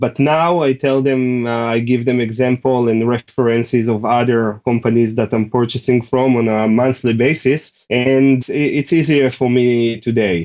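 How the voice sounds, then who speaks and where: Speaking with a non-native accent, a man keeps a moderate pace, medium pitch, fairly even intonation, very even loudness and hardly any pauses. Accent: foreign. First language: not English. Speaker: ecommerce seller. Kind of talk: podcast interview. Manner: halting, many fillers.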